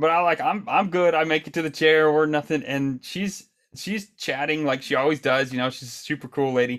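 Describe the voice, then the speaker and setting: With an American accent and an ordinary speaking voice, a man talks at a fairly quick pace with hardly any pauses, in a fairly high pitch with ordinary pitch variation, on a very clean recording with a silent background. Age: 30s. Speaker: podcast host. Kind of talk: casual chat.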